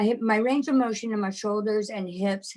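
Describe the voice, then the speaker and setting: Talking at a fairly slow pace, a woman has an unremarkable speaking voice with ordinary pitch variation. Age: 60s. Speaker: community member sharing testimony. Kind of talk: testimony.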